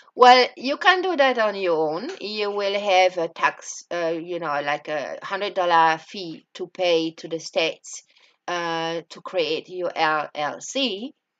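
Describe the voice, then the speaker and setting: A woman with a French accent speaks very slowly at a medium pitch, with ordinary pitch variation. She hardly pauses at all. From France. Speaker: entrepreneur. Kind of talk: personal experience vlog. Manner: halting, many fillers.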